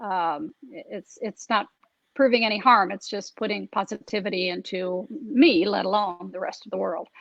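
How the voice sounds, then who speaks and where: A woman speaks at a moderate pace with a medium pitch and ordinary pitch variation. Her voice has vocal fry and big swings in loudness. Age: 60s. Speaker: documentary filmmaker. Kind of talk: interview conversation. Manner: halting, many fillers.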